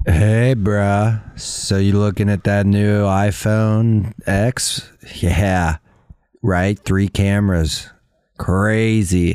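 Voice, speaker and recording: A man speaks in a put-on character voice, fairly low in pitch, drawling at a very slow pace. The recording is very clean, with a silent background. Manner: drawling, disinterested, stoner.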